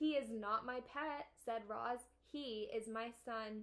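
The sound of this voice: Speech in an unforced reading voice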